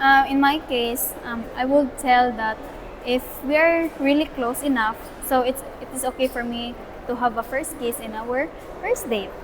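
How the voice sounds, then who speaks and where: Over noticeable background noise, a woman with a Filipino accent talks fairly slowly in a high pitch with fairly even intonation. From Philippines. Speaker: student. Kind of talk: interview answer. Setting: outdoors.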